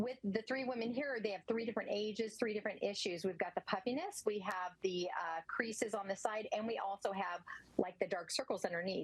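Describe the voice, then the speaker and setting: A woman with an ordinary speaking voice talks at a fairly quick pace with hardly any pauses. Her pitch is fairly high, with ordinary pitch variation. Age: 60s. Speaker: skincare product representative. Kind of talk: sales pitch.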